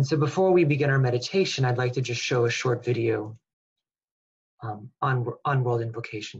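Speaking at a fairly quick pace with long, frequent pauses, a man's somewhat breathy, medium-pitched voice shows ordinary pitch variation and big swings in loudness. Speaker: webinar host. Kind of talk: webinar welcome and guided meditation. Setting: video call.

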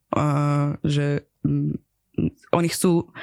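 A woman speaks in a Persian accent. Her intonation is monotone and flat. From Iran. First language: Persian (speaking Slovak). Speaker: comedian and theatre maker. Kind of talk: interview. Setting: studio. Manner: halting.

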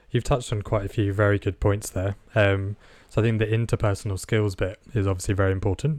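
A man's fairly low voice at a fairly quick pace with fairly even intonation, in a very clean recording with a silent background. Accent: British. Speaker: podcast co-host and radiographer. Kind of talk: interview.

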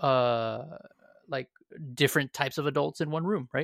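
On a very clean recording with a silent background and a dry, close sound with no echo, a man uses an ordinary speaking voice at a moderate pace and medium pitch. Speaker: podcast host. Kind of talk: casual chat. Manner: upbeat, chatty.

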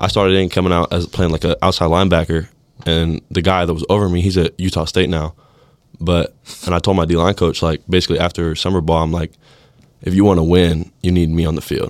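Very fast and in a flat monotone, a man with an American accent speaks at a very deep, low pitch. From California. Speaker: college football player. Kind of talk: casual chat. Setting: studio.

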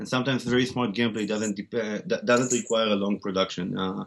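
A man with an Israeli accent, fairly low-pitched, speaking at a fairly quick pace with fairly even intonation. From Israel, Tel Aviv. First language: Hebrew. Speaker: game studio founder and CEO. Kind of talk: interview. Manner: halting, many fillers.

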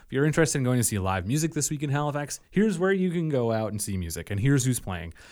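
Very wide pitch swings in a man's voice, on a very clean recording with a silent background. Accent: Nova Scotia. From Nova Scotia, Yarmouth County (Acadian). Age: 30s. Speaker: musician and music publicist. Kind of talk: casual chat.

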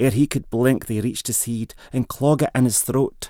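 In a very clean recording with a silent background, a man uses a normal speaking voice at a fairly slow pace with fairly even intonation. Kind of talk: poet reading a Scots dialect poem aloud. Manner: measured, rhythmic, storytelling cadence.

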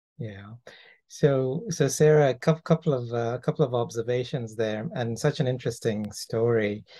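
Against a quiet background, a man speaks at a moderate pace in a somewhat breathy, dark, mellow voice of medium pitch with ordinary pitch variation. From Toronto, Canada. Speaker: podcast host. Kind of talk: interview.

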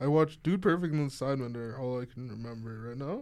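An ordinary speaking voice from a man, fairly quick in pace, medium in pitch, with ordinary pitch variation. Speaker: podcast co-host, student. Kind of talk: casual chat. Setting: studio.

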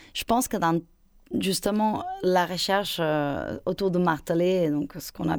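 A woman's fairly low voice at a moderate pace with ordinary pitch variation, on a very clean recording with a silent background. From Spain. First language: Spanish (speaking French). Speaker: choreographer and dancer. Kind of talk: interview. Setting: radio studio. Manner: halting.

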